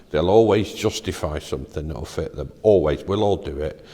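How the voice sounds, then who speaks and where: A man's dark, mellow tone with vocal fry, ordinary pitch variation and a moderate pace. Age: 60s. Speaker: father in a Bible reading series. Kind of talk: casual faith discussion. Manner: halting.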